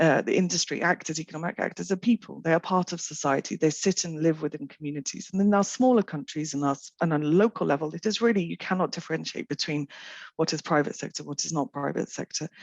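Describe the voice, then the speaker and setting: A woman speaks at a very fast pace with hardly any pauses, her pitch very deep and low with ordinary variation. The sound is dry and close with no echo, over a quiet background. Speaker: WHO official. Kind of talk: panel discussion. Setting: video call. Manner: loud, fast.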